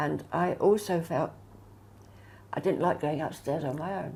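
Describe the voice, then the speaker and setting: A woman's fairly low, dark, mellow voice with vocal fry, ordinary pitch variation and a fairly slow pace. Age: 80s+. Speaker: retirement home resident. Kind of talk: interview testimony.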